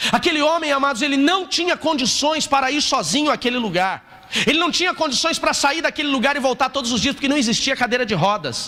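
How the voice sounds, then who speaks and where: A man speaks in an extremely high pitch and a raised, projected voice, sounding animated at a fairly quick pace with hardly any pauses, ordinary pitch variation, very even loudness, and noticeable background noise. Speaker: pastor. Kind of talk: sermon. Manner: fast, animated.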